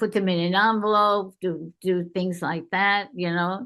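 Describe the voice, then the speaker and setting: At a very slow pace, a woman speaks in a New York accent. Her medium pitch shows ordinary variation over a quiet background. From New York City. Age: 90s. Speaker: game creator's grandmother. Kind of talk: interview. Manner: halting.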